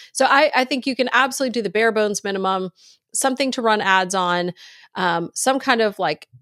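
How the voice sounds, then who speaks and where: In a normal speaking voice with an American accent, the speaker goes at a moderate pace with ordinary pitch variation. The recording is very clean and silent in the background, dry and close with no echo. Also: woman. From US South (Virginia/Texas). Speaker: author and podcast host. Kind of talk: interview.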